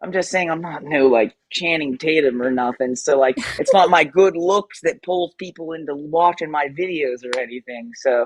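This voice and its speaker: A man's fairly high voice at a moderate pace, with ordinary pitch variation, hardly any pauses, and a dry, close sound free of echo. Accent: American. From Western Pennsylvania. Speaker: tattoo artist and streamer. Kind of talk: casual livestream chat. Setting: live stream at home. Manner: casual, filler-heavy.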